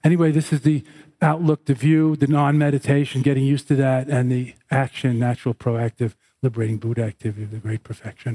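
A man's voice sits at a medium pitch, somewhat breathy and dark and mellow in tone, with fairly even intonation. The sound is dry and close, with no echo. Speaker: Buddhist teacher. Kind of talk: guided meditation, sky-gazing instruction. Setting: live class with audience. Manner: slow, meditative; spiritual, teaching tone.

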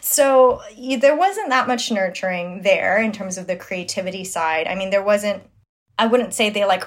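A woman talks at a moderate pace with an American accent. Her pitch variation is ordinary. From Flushing, Queens, New York. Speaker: designer and startup founder. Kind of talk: casual interview chat.

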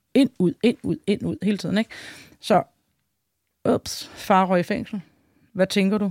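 A woman talks at a fairly slow pace and a medium pitch. Her pitch variation is ordinary, and she takes long, frequent pauses. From Denmark. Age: 40s. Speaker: wife of a biker gang member. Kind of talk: interview. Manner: hesitant, many filler sounds.

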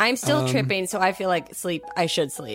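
A woman's put-on character voice, raspy and fairly low-pitched, at a moderate pace with faint music in the background. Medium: comedy sketch. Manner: dreamy, spaced-out.

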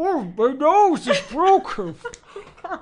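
This put-on character voice is high and nasal, moving at a fairly slow pace with very wide pitch swings.

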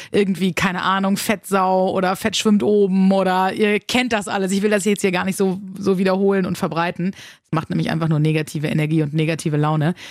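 The woman's plain, everyday voice sits at a medium pitch, moving at a fairly quick pace with ordinary pitch variation. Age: 30s. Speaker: radio host and podcast host. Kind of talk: podcast monologue.

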